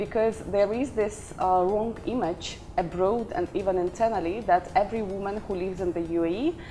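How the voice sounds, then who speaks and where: Noticeable background noise sits behind the recording. A woman speaks at a fairly quick pace. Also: medium pitch for a woman, ordinary pitch variation. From Ukraine, Odessa. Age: 30s. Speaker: career coach and company founder. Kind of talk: interview.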